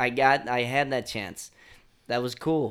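With an American accent and a normal speaking voice, a man talks at medium pitch and a moderate pace. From Chicago, South Side. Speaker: nonprofit founder, outdoor educator. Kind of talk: casual chat.

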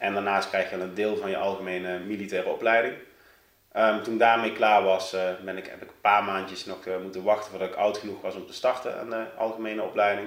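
A man speaks very fast at a fairly low pitch, monotone and flat. His loudness swings widely, and room echo is audible. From Netherlands, South Limburg (near Sittard). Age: 30s. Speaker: carp angler and fishing-tackle company employee, former soldier. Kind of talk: podcast interview.

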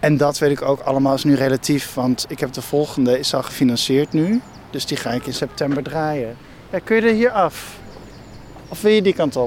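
Over noticeable background noise, a man speaks at a moderate pace. His voice sits fairly high for a man, with lively intonation. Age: 30s. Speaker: film director. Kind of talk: casual interview on a walk. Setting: outdoors, walking. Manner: halting.

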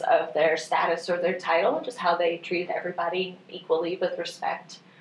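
A woman with an American accent talks at a fairly quick pace over noticeable background noise. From northwest Missouri. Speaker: museum education director. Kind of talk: interview.

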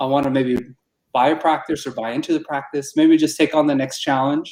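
This man has a plain, everyday voice with an American accent, speaking at a fairly quick pace with lively intonation. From Arizona, Tucson. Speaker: dentist. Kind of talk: casual interview.

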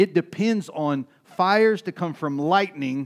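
In a very clean recording with a silent background, a man with a high pitch speaks very slowly, using ordinary pitch variation. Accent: East Texas. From US South, East Texas. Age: 40s. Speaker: pastor. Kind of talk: sermon.

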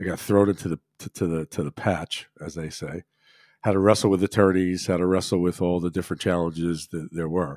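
On a very clean, dry, close recording with no echo and a silent background, a man with an American accent speaks at a very deep, low pitch with fairly even intonation. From New Jersey, Monmouth County. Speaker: financial advisor. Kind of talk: interview.

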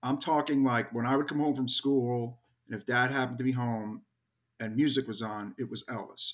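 A man with an American accent speaks in a plain, everyday voice at medium pitch, keeping a moderate pace and fairly even intonation. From New York, Brooklyn. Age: 50s. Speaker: hardcore band musician. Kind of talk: casual interview chat.

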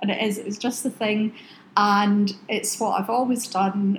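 A woman in a West Highland Scottish accent at a medium pitch and fairly slow pace, monotone and flat in intonation, with noticeable background noise. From Oban, western Scotland. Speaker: aromatherapy business founder. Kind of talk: casual interview chat. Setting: in a shop.

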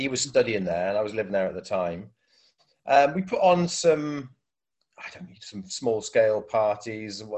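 A man with a Welsh accent speaks at medium pitch and a moderate pace, with long, frequent pauses. His pitch swings very widely, and his loudness shifts greatly. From South Wales. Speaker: DJ and radio station head. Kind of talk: casual interview. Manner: hesitant, many fillers.

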